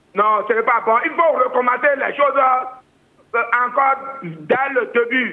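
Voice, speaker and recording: Speaking at a very slow pace, a man talks in an extremely high pitch. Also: ordinary pitch variation. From Benin, Ouidah. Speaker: caller. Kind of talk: phone call to radio show. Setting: phone call.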